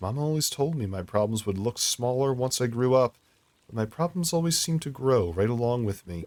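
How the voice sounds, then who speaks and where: A man puts on a gruff character voice at a medium pitch. He moves at a fairly quick pace with lively intonation. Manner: gruff, muttering.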